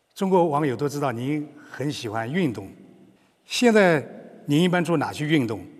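With audible room echo, a man speaks at a fairly slow pace with long, frequent pauses. His fairly high voice has lively intonation. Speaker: media executive interviewer. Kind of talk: formal interview in Chinese.

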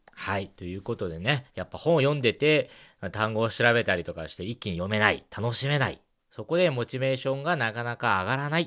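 Lively intonation from a man at medium pitch, bright and sharp in tone, against a quiet background. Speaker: radio host. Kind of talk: advice segment interview. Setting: studio.

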